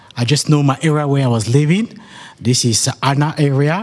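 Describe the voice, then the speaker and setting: The speaker is a man with a French accent. His pitch is fairly high for a man, and his pace is fairly slow. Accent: French intonation in English. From French-speaking country. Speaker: community member. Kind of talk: public talk at community meeting. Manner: halting.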